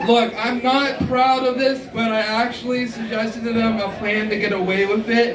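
The speaker moves at a moderate pace with hardly any pauses over noticeable background noise. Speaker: stand-up comedian. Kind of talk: stand-up comedy set of scripted-sounding jokes and punchlines. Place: stage.

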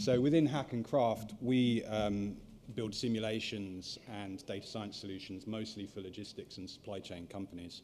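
With a normal speaking voice, a man speaks at a moderate pace in a fairly low pitch, his intonation fairly even against light background noise. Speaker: conference speaker. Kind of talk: lecture. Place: hall.

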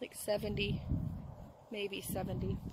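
This is a woman's voice. The sound is dry with no echo, and there is noticeable background noise. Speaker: vlogger. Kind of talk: casual vlog chat. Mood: cheerful, upbeat. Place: open country. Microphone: phone near.

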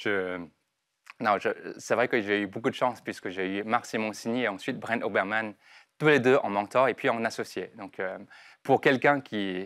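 At a moderate pace, a man talks with ordinary pitch variation and long, frequent pauses. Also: medium pitch for a man, quiet background. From southern China (Guangdong). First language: Chinese (Cantonese) (speaking French). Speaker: entrepreneur; guest. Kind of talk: interview. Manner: halting. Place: studio. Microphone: lapel.

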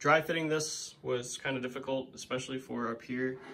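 Moderate pace and fairly even intonation. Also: man. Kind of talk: casual tutorial walkthrough. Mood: pleased, relaxed. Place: home room. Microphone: phone near.

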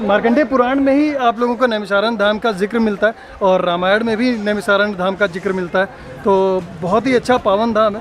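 A man talks in a high pitch with ordinary pitch variation and very even loudness. The sound is dry with no echo, with crowd noise in the background. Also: moderate pace. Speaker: travel vlogger. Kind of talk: casual vlog chat. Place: street. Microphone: phone near.

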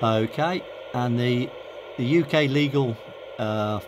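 Clear background noise runs beneath a man speaking at a medium pitch.

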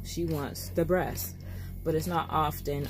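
Music can be heard behind the speaker. She is a woman whose pitch swings very widely. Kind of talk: casual vlog chat. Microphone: phone near.

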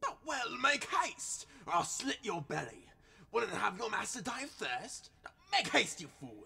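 A man talks at a moderate pace. His pitch is extremely high for a man. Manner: boisterous, cruel, shouting.

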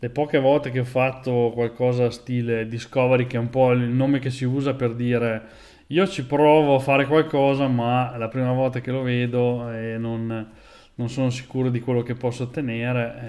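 Over a quiet background, a man speaks at a moderate pace in a monotone, flat intonation with a dark, mellow tone. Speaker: programming streamer. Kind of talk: casual live stream chat. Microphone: earbuds.

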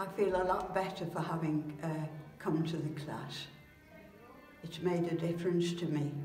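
Faint music plays in the background as a woman speaks at a fairly slow pace. Room echo is audible. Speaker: exercise class participant. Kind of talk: testimonial interview answer. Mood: pleased, grateful. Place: home room. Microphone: phone near.

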